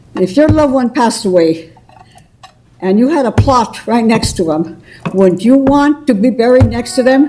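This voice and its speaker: Noticeable background noise behind a woman's lively intonation and moderate pace. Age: 80s+. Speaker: public commenter. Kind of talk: public comment at council meeting. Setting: city council meeting. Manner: emphatic.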